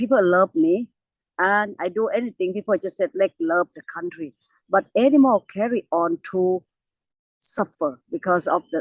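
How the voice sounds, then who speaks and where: In a Thai accent, a woman talks at a moderate pace with lively intonation, in a dry, close sound with no echo. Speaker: elephant conservationist. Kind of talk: interview. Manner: halting.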